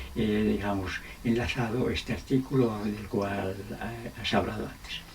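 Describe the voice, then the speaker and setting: Over noticeable background noise and audible room echo, a man speaks at a fairly low pitch. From Spain, Salamanca. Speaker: law philosophy professor. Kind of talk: interview. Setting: his home.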